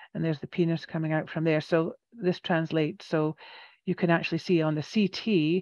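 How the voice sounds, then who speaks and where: A woman's fairly low voice in a Scottish accent, at a moderate pace with fairly even intonation, dry with no echo against a quiet background. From Scotland. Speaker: radiation therapist. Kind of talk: educational presentation to a support group. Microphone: headset.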